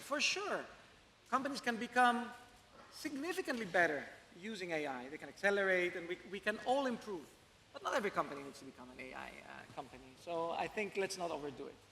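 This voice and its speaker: Using a raised, projected voice, a man talks very fast at a high pitch, with very wide pitch swings and big swings in loudness. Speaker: tech startup founder. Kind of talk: panel discussion.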